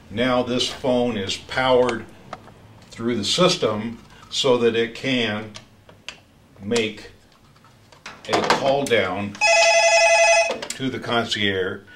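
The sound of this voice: Amid audible room echo, a man at medium pitch speaks at a very slow pace with long, frequent pauses, a fairly bright tone and fairly even intonation.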